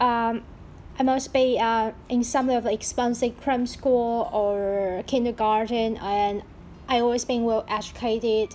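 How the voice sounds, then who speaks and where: A woman with a fairly high pitch speaks at a fairly slow pace. Her intonation is monotone and flat, and her loudness stays very even. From Taiwan. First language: Mandarin Chinese. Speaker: podcaster. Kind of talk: casual monologue.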